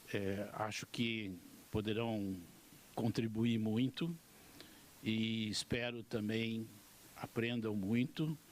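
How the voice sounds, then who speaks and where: A man's medium-pitched voice at a very slow pace, with fairly even intonation, long and frequent pauses, and very even loudness. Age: 70s. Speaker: education official. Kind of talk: welcome speech.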